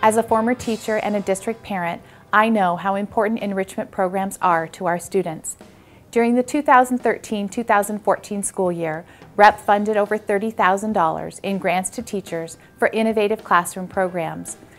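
Faint music plays in the background as a woman speaks with fairly even intonation. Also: moderate pace. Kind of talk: prepared announcement. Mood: friendly, formal. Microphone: lapel.

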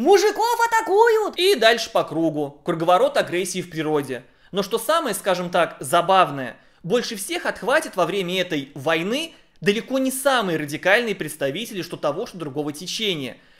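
Against a quiet background, a man with a high-pitched voice talks at a moderate pace, his pitch swinging very widely. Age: 30s. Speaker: YouTube blogger and commentator; YouTube blogger, commentator. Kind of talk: video essay commentary. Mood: critical, ironic. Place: home room. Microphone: studio mic.

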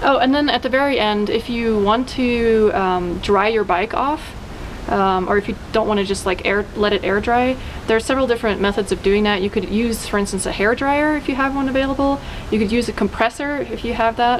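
At a fairly quick pace, a woman talks with ordinary pitch variation and very even loudness against light background noise. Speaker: channel host. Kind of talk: tutorial. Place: garden. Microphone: camera far.

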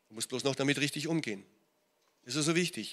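Behind the man's speech, the background stays quiet. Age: 60s. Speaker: pastor. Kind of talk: sermon. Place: church. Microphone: handheld.

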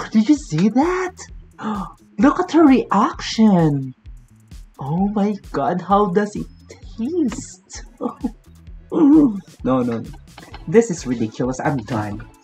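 A man speaking at a very slow pace with long, frequent pauses, faint music in the background. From Philippines. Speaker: vlogger. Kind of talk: casual reaction video talk to camera. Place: home room. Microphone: webcam.

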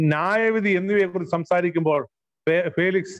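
A man speaks in a high pitch with ordinary pitch variation. The background is quiet. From Kerala, India. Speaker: pastor. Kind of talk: sermon. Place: home room. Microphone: earbuds.

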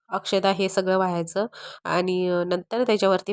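A woman speaks in a monotone with flat intonation. The sound is dry and close, with no echo. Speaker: vlogger homemaker. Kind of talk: home vlog narration.

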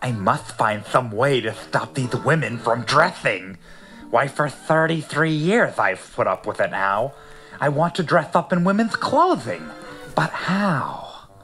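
With music in the background, a man does a growling put-on character voice at a fairly high pitch and a fairly slow pace. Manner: growling, grumpy.

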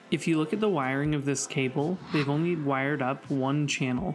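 With faint music in the background, a man speaks at a moderate pace with ordinary pitch variation. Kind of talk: casual review vlog. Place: home room. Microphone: camera far.

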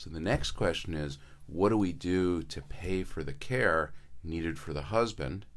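Someone with an American accent speaks at a fairly slow pace with ordinary pitch variation. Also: man, very deep, low pitch for a man. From Connecticut. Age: 60s. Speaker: senior care business owner; radio guest. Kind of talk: radio interview. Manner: hesitant, many fillers. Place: studio. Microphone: studio mic.

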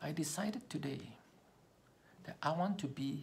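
Lively intonation and a somewhat breathy quality mark this moderate-paced speech over light background noise. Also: man. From Malaysia. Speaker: public speaking trainer. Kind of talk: personal storytelling speech. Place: home room. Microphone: phone near.

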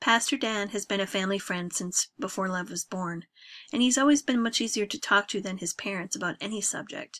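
An unforced voice reading, its pitch rising and falling in an ordinary way

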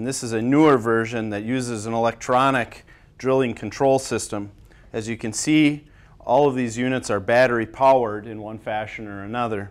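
The speaker is a man who keeps a moderate pace. He holds his intonation fairly even. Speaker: timber inspection instructor. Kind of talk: tutorial. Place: studio.

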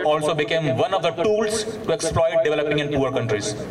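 A man's fairly high voice with lively intonation at a moderate pace, amid noticeable background noise and audible room echo. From India. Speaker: climate activist. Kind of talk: public speech.

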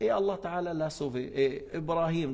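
The speaker is a man with an Arabic accent. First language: Arabic (speaking French). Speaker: Islamic religious teacher. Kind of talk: religious lesson. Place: hall. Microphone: podium.

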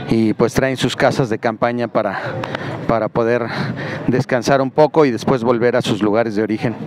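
A man talks at a moderate pace with fairly even intonation, the sound dry with no echo but with noticeable background noise. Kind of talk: commentary. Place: street. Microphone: phone near.

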